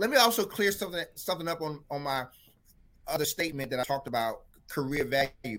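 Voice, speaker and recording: Bright and sharp in tone, a man with a North Carolina accent talks at a fairly quick pace with lively intonation and long, frequent pauses on a very clean recording with a silent background. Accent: rural North Carolina Southern US. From North Carolina, Franklin County. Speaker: drama teacher. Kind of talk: casual interview.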